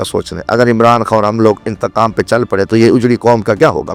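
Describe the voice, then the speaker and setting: Music plays in the background as a man with a fairly low pitch speaks. The sound is dry and close, with no echo. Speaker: politician, former national assembly member. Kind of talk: interview answer.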